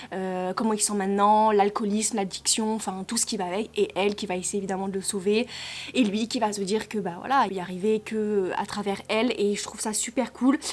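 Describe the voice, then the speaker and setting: A woman with a medium pitch keeps her intonation fairly even while talking at a fairly quick pace. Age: 20s. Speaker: book reviewer. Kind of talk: casual book review. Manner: halting.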